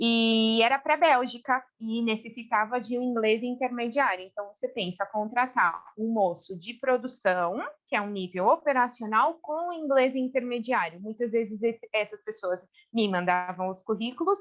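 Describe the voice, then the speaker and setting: A woman with a Brazilian accent speaks at a moderate pace and a fairly high pitch, with ordinary pitch variation. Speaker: human resources specialist. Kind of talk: casual interview chat.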